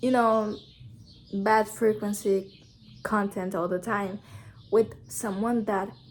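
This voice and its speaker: A woman with a non-native accent speaks very slowly at a medium pitch, her intonation flat and monotone. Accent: noticeable non-native. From Brazil. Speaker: YouTuber. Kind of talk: casual vlog talk to camera.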